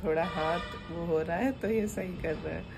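Music plays in the background. A woman speaks at a fairly slow pace. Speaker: new mother vlogger. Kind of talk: casual vlog chat. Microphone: phone near.

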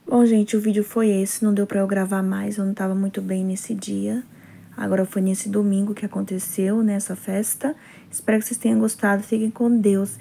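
A woman speaks at a fairly quick pace in a medium pitch, her dark, mellow tone somewhat breathy and her intonation fairly even. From Brazil. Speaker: vlogger. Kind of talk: casual vlog narration. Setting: church hall event. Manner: cheerful, chatty, warm. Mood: low energy, not feeling well. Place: home room. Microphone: phone near.

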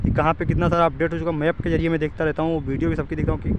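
The man's voice is dry with no echo, though loud background noise is all around it. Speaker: vlogger. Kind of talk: casual vlog commentary. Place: open country. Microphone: phone near.

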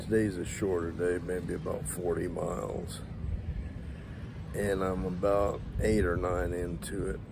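A man speaks at a fairly slow pace with a very deep, low pitch. The sound is dry with no echo, though noticeable background noise is present. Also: ordinary pitch variation. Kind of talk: casual vlog chat. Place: street. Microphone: phone near.

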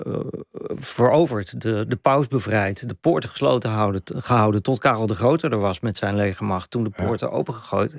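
A man talks with ordinary pitch variation, his sound dry with no echo and the background quiet. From Randstad, Netherlands; Netherlands. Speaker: journalist and author; journalist. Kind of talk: radio interview. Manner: halting. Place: studio. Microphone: studio mic.

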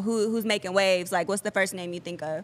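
The delivery is very fast, with fairly even intonation. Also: woman. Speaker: podcast host. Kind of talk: casual interview chat. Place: studio. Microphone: studio mic.

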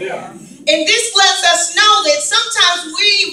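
With an animated tone, a woman projects her raised voice at an extremely high pitch, and the room echo is audible. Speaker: guest preacher. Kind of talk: sermon. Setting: church. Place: church. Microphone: pa.

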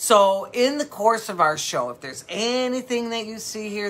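A woman's voice at a moderate pace. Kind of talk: casual live-stream sales chat. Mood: warm, sympathetic. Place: shop.

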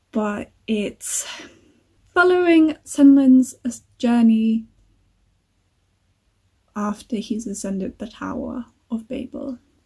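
A woman with a high pitch speaks in a dark, mellow tone, with long, frequent pauses. Her loudness swings widely against a quiet background. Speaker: book vlogger. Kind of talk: casual vlog chat. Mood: cheerful, relaxed. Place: home room. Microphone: phone near.

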